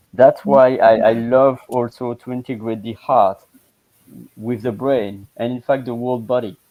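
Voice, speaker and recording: Speaking at a fairly slow pace with a French accent, a man at a medium pitch keeps his intonation fairly even while his loudness swings widely. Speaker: language coach. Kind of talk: casual chat. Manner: halting.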